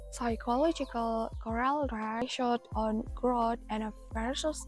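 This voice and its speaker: With music in the background, a woman speaks very slowly in a calm tone. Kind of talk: motivational talk to camera. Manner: soft-spoken, calm.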